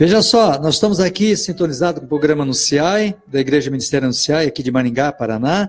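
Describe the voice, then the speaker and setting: A man talks at a very fast pace with hardly any pauses, his fairly high voice full of lively intonation. Music plays in the background. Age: 60s. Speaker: pastor and radio host. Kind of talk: live radio interview. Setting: radio studio, live broadcast.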